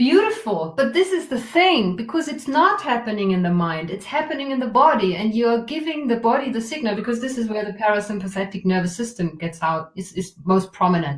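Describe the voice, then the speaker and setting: A woman's fairly high voice with very wide pitch swings and hardly any pauses, over noticeable background noise. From Germany. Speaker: trauma release facilitator. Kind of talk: guided exercise in interview. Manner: soft, gentle.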